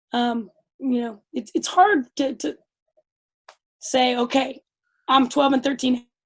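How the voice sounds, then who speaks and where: Loud and high-pitched, a woman speaks at a very slow pace with long, frequent pauses. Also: ordinary pitch variation. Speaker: youth soccer coach. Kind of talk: interview.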